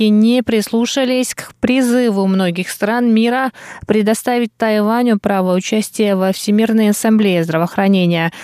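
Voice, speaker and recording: A woman's plain, everyday voice, fairly high in pitch with ordinary pitch variation, at a moderate pace, in a dry, close sound with no echo. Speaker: radio news presenter. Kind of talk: news reading. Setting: studio. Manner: formal.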